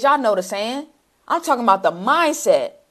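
A woman's voice comes through over a quiet background. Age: 30s. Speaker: social media marketing coach. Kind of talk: livestream sales pitch. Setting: livestream. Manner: animated. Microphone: lapel.

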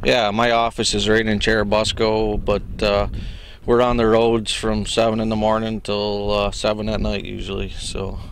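A man with an American accent speaks at a moderate pace in a fairly low, flat monotone, the sound dry with no echo over light background noise. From northern New York. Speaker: wind farm worker. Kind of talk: casual interview. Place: open country. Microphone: handheld.

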